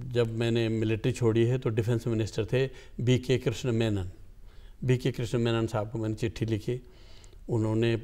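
Against a quiet background, a man speaks at a fairly slow pace with long, frequent pauses. His intonation is monotone and flat. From Tehri Garhwal, Uttarakhand (Indian Himalayas); Uttarakhand, India. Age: 80s. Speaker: poet; guest. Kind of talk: interview. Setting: studio. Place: studio. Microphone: lapel.

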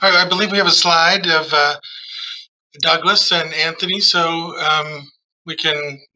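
In a flat monotone, a man with a high voice speaks at a fairly slow pace against a quiet background. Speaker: museum staff host. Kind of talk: interview. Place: office. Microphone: video call.

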